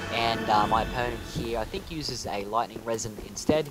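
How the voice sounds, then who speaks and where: With an Australian accent, a man talks at a moderate pace in a fairly low voice with ordinary pitch variation as music plays in the background. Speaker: gaming YouTuber. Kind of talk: gameplay commentary narration. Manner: halting, many fillers.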